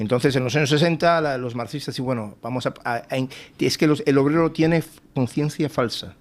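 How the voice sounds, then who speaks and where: With a non-native accent, a man speaks at a fairly quick pace in a fairly high pitch, with ordinary pitch variation. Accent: non-native, imperfect Spanish. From Cuba. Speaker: think tank fellow and author. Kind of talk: TV panel interview. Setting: TV studio panel. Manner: halting, many repetitions.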